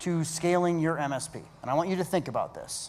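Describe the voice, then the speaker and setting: Audible room echo surrounds fairly quick speech. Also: man. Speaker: keynote speaker, business coach. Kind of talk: keynote talk. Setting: stage with audience. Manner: fast.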